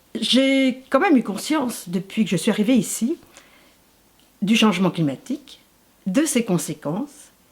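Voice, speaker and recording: Somewhat breathy and fairly high in pitch, a woman talks at a fairly slow pace with very wide pitch swings. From Paris region, France. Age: 60s. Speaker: retired social worker, local election candidate. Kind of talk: interview.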